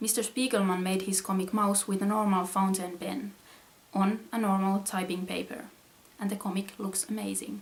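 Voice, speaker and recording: Over noticeable background noise, a woman with a Finnish accent speaks at a medium pitch in a monotone, flat intonation. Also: moderate pace. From Finland. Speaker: comic artist. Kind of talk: reading aloud.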